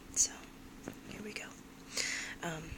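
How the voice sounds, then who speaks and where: A woman is soft-spoken. There is noticeable background noise. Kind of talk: ASMR soft-spoken magazine browsing; casual talk to camera.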